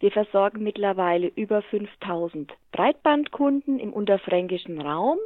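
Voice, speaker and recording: Speaking at a fairly slow pace, a woman uses a normal speaking voice at medium pitch with lively intonation. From Lower Franconia, Bavaria (Hammelburg). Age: 40s. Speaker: utility company executive. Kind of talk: interview.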